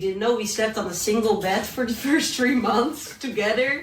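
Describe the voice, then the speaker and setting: With a Dutch accent, a woman speaks at a moderate pace and ordinary pitch variation amid noticeable background noise and audible room echo. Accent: Dutch accent, lasting. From Netherlands. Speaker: entrepreneur and YouTuber. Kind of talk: podcast interview.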